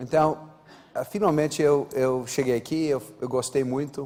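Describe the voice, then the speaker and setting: The man talks at a moderate pace with an American accent. His pitch is medium, with ordinary variation. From United States, born in Brazil. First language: English (speaking Portuguese). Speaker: airline executive. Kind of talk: panel discussion. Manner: halting.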